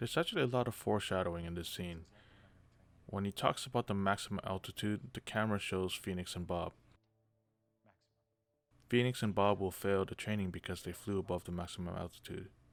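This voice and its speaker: Music plays in the background as a man with a fairly low pitch talks at a fairly quick pace with fairly even intonation. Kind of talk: film commentary narration.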